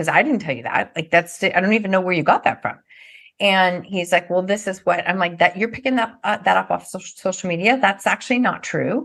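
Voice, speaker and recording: A woman with an unremarkable speaking voice talks at a fairly quick pace, medium in pitch with ordinary pitch variation. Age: 50s. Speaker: NLP trainer and author. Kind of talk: casual chat.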